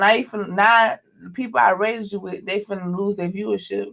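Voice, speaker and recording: Her pitch medium, a woman speaks at a fairly quick pace with big swings in loudness. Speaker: podcast co-host and streamer. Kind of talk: casual chat. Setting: live streamed podcast.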